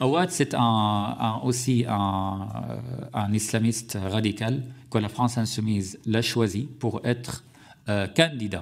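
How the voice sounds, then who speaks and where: A man with an Arabic accent and a medium pitch at a very slow pace, in a very clean recording with a silent background. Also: ordinary pitch variation. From Syria. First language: Arabic (speaking French). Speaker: journalist and author. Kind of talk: parliamentary hearing testimony. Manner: halting, many hesitations.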